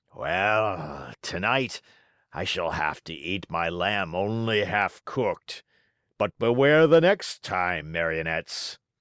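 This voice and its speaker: Putting on a raspy character voice, a man speaks at a fairly low pitch and fairly slow pace in a very clean recording with a silent background. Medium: read story.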